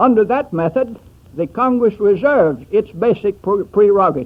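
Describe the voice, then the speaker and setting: This man has a high voice and an American accent, with lively intonation. His pace is moderate. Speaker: secretary of state. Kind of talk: formal political address, radio speech. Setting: old archival radio recording.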